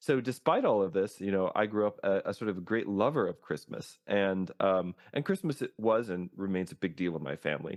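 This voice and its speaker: With an American accent, a man speaks at a moderate pace and a fairly low pitch with ordinary variation, recorded dry and close with no echo against a quiet background. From US South, East Texas. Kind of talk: casual conversational storytelling. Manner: many fillers and false starts.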